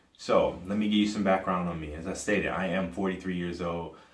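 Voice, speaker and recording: A man's very deep, low voice with ordinary pitch variation and audible room echo. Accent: American. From US Midwest, Cleveland, Ohio. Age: 40s. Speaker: podcaster. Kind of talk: personal commentary monologue. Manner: halting, many fillers and restarts.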